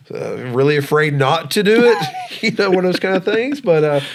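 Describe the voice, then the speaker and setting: A man talks with a Southern US accent. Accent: Southern twang. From US South, Georgia. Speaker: podcast co-host, former minister. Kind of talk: casual chat. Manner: halting, many fillers.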